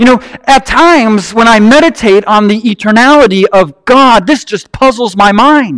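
A man with an American accent speaks at an extremely high pitch and a moderate pace, with ordinary pitch variation. His loudness stays very even, with hardly any pauses. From Wisconsin, US Upper Midwest. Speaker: pastor. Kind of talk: sermon. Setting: church.

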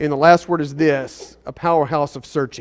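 A plain, everyday voice moves at a moderate pace with ordinary pitch variation in a very clean recording with a silent background. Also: man. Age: 40s. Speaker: pastor. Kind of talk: sermon. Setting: church service in a school.

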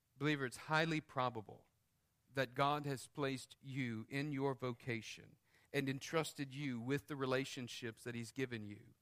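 Moderate pace and fairly even intonation from a man with a plain, everyday voice pitched at medium. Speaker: preacher. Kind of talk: sermon; fervent prayer. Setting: church. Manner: earnest, pleading, heartfelt.

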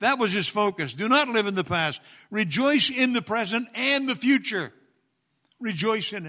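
A man with a high pitch uses a raised, projected voice with a bright, sharp tone and lively intonation at a moderate pace. The recording is very clean, with a silent background. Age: 70s. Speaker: retired pastor, guest preacher. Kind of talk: sermon. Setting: church with congregation.

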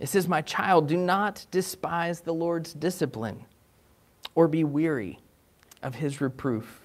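Speaking at a slow pace, a man with a fairly high pitch uses ordinary pitch variation.

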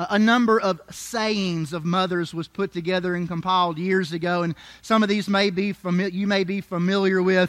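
Delivered at a moderate pace with hardly any pauses, the speech has an animated, warm tone. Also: man, high pitch for a man. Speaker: preacher. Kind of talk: sermon. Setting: church with congregation. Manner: animated, call-and-response, pausing for congregation amens; warm, humorous, conversational preacher cadence.

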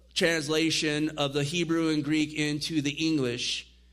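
At a moderate pace, a man talks in an ordinary speaking voice with fairly high pitch for a man. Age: 50s. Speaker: pastor teaching a Bible study. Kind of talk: Bible study teaching.

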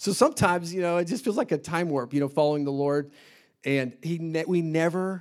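The recording is very clean, with a silent background. A man with an American accent talks at a fairly high pitch with ordinary pitch variation. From Indianapolis, US Midwest. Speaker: missionary preacher. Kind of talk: sermon. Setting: church service.

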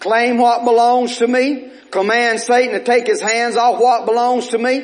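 Over noticeable background noise, a man with an extremely high pitch speaks at a moderate pace in an animated tone. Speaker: preacher. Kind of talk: sermon. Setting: church. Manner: animated, fervent pulpit delivery with call-and-response; repetitive, urgent exhortation.

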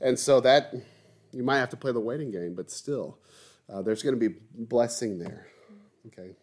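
A man's medium-pitched voice at a moderate pace, with long, frequent pauses and big swings in loudness. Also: ordinary pitch variation. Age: 30s. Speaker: pastor leading Bible study. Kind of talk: Bible study teaching. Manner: hesitant, many filler words.

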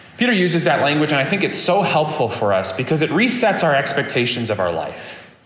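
With noticeable background noise behind him, a man of fairly high pitch talks at a very fast pace with very wide pitch swings, very even loudness and hardly any pauses. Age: 30s. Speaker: pastor. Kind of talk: sermon.

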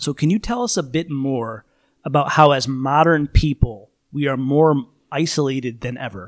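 At a moderate pace, a man with a fairly high pitch and ordinary pitch variation uses a normal speaking voice on a very clean recording with a silent background. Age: 30s. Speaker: podcast host. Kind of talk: casual chat.

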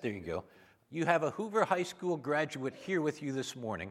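On a very clean recording with a silent background, a man with an American accent uses an unremarkable speaking voice, fairly high in pitch, with lively intonation at a moderate pace. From Minnesota. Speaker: visiting preacher. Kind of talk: on-stage interview; sermon. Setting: church.

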